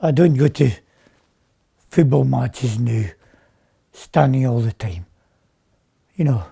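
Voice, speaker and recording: Slow-paced and somewhat breathy, a man speaks at a medium pitch in a dark, mellow tone, with lively intonation and long, frequent pauses. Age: 70s. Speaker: patient. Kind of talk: testimony.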